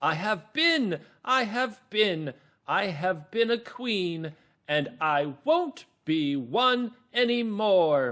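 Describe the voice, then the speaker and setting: In a put-on character voice, a man speaks at a very slow pace with very wide pitch swings. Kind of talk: storybook reading. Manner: haughty, bored; petulant.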